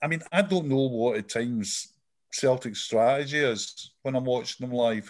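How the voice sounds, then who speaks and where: Someone with a Scottish accent talks at a moderate pace in a very clean recording with a silent background. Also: man. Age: 60s. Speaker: football journalist. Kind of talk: casual chat.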